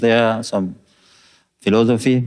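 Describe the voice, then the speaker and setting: The speaker talks at a fairly slow pace in a French accent. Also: man. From France. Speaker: devotee. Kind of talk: testimony. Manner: halting.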